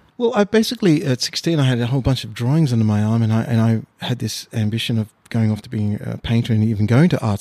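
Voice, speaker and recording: A man's dark, mellow voice at medium pitch with an Australian accent, very fast, dry and close with no echo, on a very clean recording with a silent background. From Australia (born in Mauritius, arrived age six). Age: 50s. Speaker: painter. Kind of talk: casual interview. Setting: artist's studio. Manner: halting, many fillers and repeats.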